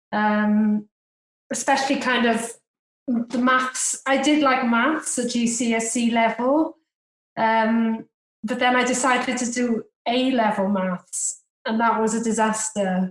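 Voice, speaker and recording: A woman with a Welsh accent speaks at a very slow pace and fairly high pitch. Her loudness stays very even and her intonation fairly even. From Wales, Cardiff. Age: 40s. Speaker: private investor. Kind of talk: podcast interview.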